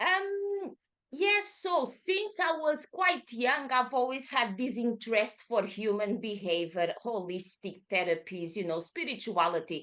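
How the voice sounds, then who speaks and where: A woman with a Portuguese accent, a fairly high pitch, very wide pitch swings and a bright, sharp tone. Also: hardly any pauses. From Portugal, Lisbon. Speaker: yoga teacher. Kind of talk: casual interview.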